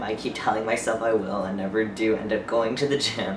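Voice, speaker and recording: A man is speaking. The room echo is audible, and noticeable background noise sits behind him. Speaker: vlogger. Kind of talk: casual vlog. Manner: hesitant, filler-heavy.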